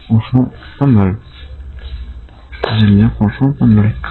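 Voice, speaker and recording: A man speaks quietly. Music plays in the background. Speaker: urban explorer vlogger. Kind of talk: casual vlog narration. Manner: quiet, hushed to avoid noise; halting, filler-heavy.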